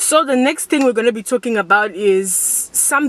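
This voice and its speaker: Noticeable noise fills the background. The talking proceeds at a fairly slow rate. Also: woman. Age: 20s. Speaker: youtuber. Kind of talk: casual vlog talk to camera. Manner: loud.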